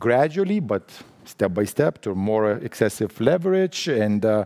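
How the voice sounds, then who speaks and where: A man with a Lithuanian accent talks fairly slowly at a medium pitch, his intonation lively. His tone is dark and mellow, with a dry, close sound and no echo. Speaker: central bank official. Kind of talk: conference panel talk. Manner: halting, many restarts.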